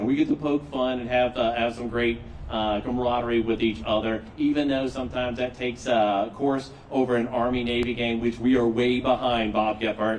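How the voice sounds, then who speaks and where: Over noticeable background noise and audible room echo, a man with an American accent talks at a fairly quick pace, medium in pitch, with fairly even intonation. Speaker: master of ceremonies, army veteran. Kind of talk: ceremony emcee speech. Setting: stage with audience. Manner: loud.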